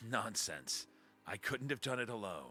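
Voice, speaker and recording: This man uses a put-on character voice. His pitch is medium and his pace is moderate. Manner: quiet.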